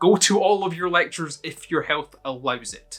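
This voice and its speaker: Over music in the background, a man with a Scottish accent talks at a moderate pace in a fairly high pitch. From Scotland. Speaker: university student youtuber. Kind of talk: casual Q&A to camera.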